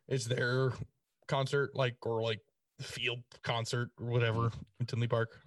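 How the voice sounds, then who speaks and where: Flat, monotone speech from a man at medium pitch, somewhat breathy, at a fairly slow pace with long, frequent pauses, in a dry, close sound with no echo. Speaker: podcast co-host. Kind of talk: casual chat.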